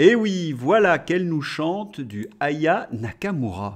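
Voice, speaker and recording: Against a quiet background, the voice moves through very wide pitch swings. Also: man. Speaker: political commentator, video blogger. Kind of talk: angry political rant, sarcastic commentary. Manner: indignant, sarcastic, scornful. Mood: sarcastic, mocking. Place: home room. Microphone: studio mic.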